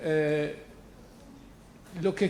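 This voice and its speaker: A man's high-pitched voice in a French accent, at a very slow pace with ordinary pitch variation and audible room echo. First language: French (speaking Spanish). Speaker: professor, literature scholar. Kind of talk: public lecture. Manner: hesitant, many fillers.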